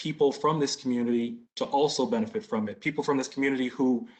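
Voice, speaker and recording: A man with an American accent speaks at medium pitch with ordinary pitch variation. It is a plain, everyday voice. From Boston. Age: 30s. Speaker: business applicant. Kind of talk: community Q&A.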